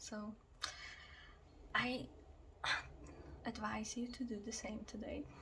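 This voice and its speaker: Soft-spoken and fairly high-pitched, a woman talks at a very slow pace with long, frequent pauses and fairly even intonation, over noticeable background noise. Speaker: reiki ASMR healer. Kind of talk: ASMR reiki healing session.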